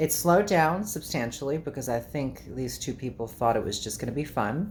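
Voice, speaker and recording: Fairly quick and lively in intonation, a woman talks with a very deep, low pitch and vocal fry. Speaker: YouTuber, vlogger. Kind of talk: casual vlog monologue.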